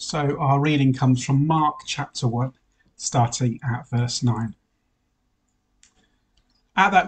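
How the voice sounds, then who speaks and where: A man talks at a fairly slow pace with fairly even intonation and a somewhat breathy voice against a quiet background. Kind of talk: sermon. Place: home room. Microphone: webcam.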